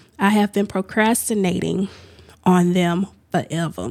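Over a silent background on a very clean recording, a woman with an unremarkable speaking voice talks at a medium pitch and fairly slow pace with fairly even intonation. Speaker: podcast host. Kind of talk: solo casual monologue. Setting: home office studio. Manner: chatty, informal.

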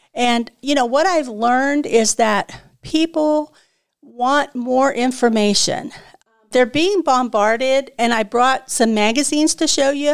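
Her pitch is high, and this woman keeps a fairly slow pace with ordinary pitch variation. Her loudness stays very even. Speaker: natural health podcast host and consultant. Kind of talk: interview about her work. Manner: passionate.

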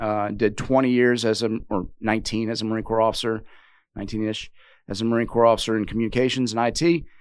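Talking at a fairly quick pace with ordinary pitch variation, a man with an American accent and a plain, everyday voice is heard on a very clean recording with a silent background. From US South, Richmond, Virginia. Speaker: retired Marine and business executive. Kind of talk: interview conversation.

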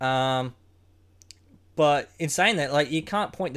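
Someone with an Australian accent talks at a moderate pace. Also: man. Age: 30s. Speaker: podcast host. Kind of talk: casual chat.

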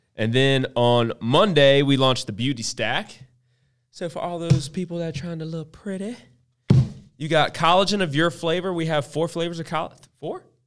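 Over music in the background, a man with a fairly high voice talks at a moderate pace with ordinary pitch variation. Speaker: podcast host, business co-owner. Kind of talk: casual banter on a livestream. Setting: live stream.

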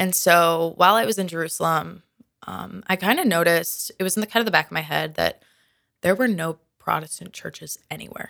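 A woman with an American accent speaks at a fairly quick pace. Her tone is bright and sharp, with vocal fry. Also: fairly low pitch for a woman, ordinary pitch variation. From Minnesota. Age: 20s. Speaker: college student, convert. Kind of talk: testimony. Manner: animated.

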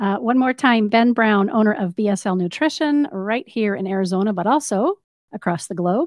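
Her voice is a normal speaking voice, fairly high for a woman. She speaks at a moderate pace with lively intonation. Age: 50s. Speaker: radio host. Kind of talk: radio interview. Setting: studio.

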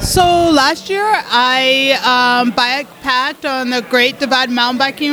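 A woman with an American accent uses a raised, projected voice that sits high in pitch, with ordinary pitch variation. Noticeable background noise runs underneath. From Colorado, US. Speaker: ultra-distance cyclist. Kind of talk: interview.

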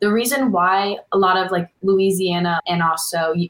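With an American accent, a woman uses a normal speaking voice at medium pitch, keeping her intonation fairly even. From US Northeast, Connecticut. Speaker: college water skier. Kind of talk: podcast interview.

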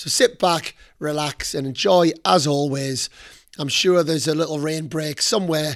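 This very clean recording has a silent background and a man with a plain, everyday voice. He speaks at a moderate pace and a fairly high pitch, with ordinary pitch variation. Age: 40s. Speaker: podcast host, tennis academy coach. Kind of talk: interview podcast.

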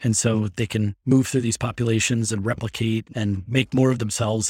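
In a very clean recording with a silent background and a dry, close sound with no echo, a man with a medium pitch and ordinary pitch variation speaks somewhat breathily at a fairly quick pace. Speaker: virologist. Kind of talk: interview.

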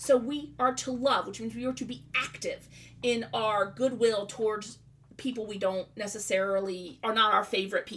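A woman with a Southern US accent, high pitch, a bright, sharp tone and a moderate pace. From US South. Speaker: podcast host. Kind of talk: religious teaching. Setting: home studio.

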